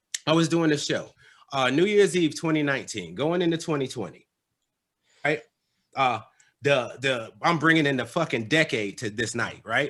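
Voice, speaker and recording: The voice has a bright, sharp tone and an American accent. It sounds animated. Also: man. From West Virginia. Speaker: stand-up comedian. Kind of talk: stand-up. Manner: casual, animated.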